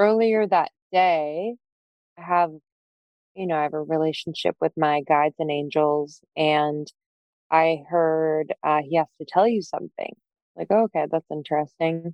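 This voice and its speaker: A woman speaks in a very deep, low pitch at a fairly slow pace. She leaves long, frequent pauses. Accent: American. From Pennsylvania, north of Philadelphia. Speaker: entrepreneur and podcast co-host. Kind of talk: casual interview.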